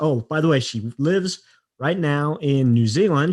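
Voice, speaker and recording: An ordinary speaking voice: a man with an American accent, fairly high in pitch, with ordinary pitch variation at a moderate pace over a quiet background. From US West, Utah. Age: 40s. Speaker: podcast host. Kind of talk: interview.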